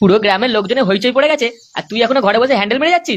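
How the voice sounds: A man performs a cartoonish character voice with an extremely high pitch and a fairly bright tone at a very fast pace. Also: lively intonation.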